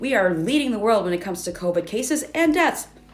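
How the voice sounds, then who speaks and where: Someone with an American accent speaks very fast amid noticeable background noise and audible room echo. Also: woman. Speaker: social media commenter. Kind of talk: casual rant video.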